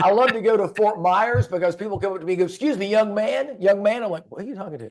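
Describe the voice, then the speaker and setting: A man with an American accent, high-pitched for a man, at a very fast pace, with ordinary pitch variation and big swings in loudness. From Florida. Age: 60s. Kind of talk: podcast interview.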